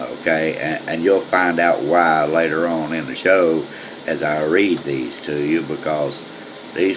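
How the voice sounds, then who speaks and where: Male speech with audible room echo, noticeable background noise behind it. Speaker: amateur news show host. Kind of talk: casual comedic news commentary. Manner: casual, halting with repetitions.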